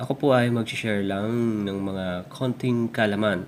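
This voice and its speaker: This man's voice sits at a fairly low pitch and has ordinary pitch variation. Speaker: Korean language tutor. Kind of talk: tutorial.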